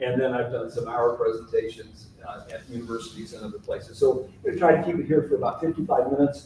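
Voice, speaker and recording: Amid noticeable background noise, a man talks at a very fast pace with big swings in loudness. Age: 70s. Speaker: author and local historian. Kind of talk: public lecture.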